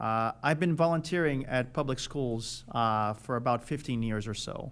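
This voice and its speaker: Speaking in a Portuguese accent, a man keeps a moderate pace and a medium pitch with ordinary pitch variation. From Brazil, Rio de Janeiro. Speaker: school board candidate, electrical engineer. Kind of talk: candidate forum opening statement. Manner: hesitant, many filler uhs.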